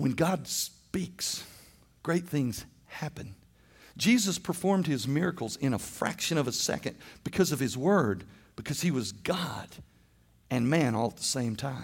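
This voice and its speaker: Very wide pitch swings and vocal fry mark this man's fairly high voice, delivered at a fairly slow pace with long, frequent pauses. The recording is very clean with a silent background. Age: 50s. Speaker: pastor. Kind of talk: sermon.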